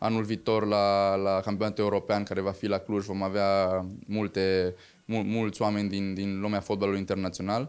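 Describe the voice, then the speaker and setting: Monotone and flat, a man talks at a moderate pace with very even loudness. His pitch is fairly low. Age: 20s. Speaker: hotel owner and sports event organizer. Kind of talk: interview. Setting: hotel. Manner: halting. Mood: calm, proud. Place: office. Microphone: handheld.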